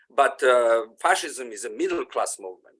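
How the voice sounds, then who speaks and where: The speaker talks at a moderate pace. They have a non-native accent. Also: man. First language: not English. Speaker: audience member commenting. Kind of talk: Q&A comment. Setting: video call. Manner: halting, many fillers.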